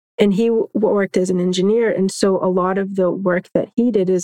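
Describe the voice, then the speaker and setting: In a plain, everyday voice with an American accent, a woman speaks at a medium pitch and a fairly quick pace, her intonation fairly even and the sound dry and close with no echo. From Florida, Orlando area. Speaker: law professor and environmental justice advocate. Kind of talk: interview.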